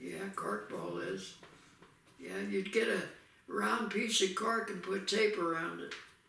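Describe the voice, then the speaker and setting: Noticeable background noise surrounds a man with an American accent. He speaks at a very slow pace. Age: 80s+. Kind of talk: casual conversation, recalling childhood.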